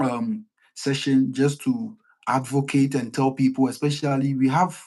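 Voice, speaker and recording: A man speaks at a fairly high pitch and a moderate pace. His tone is dark and mellow. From Ghana. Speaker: online talk show host. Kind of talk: live stream discussion. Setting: live stream.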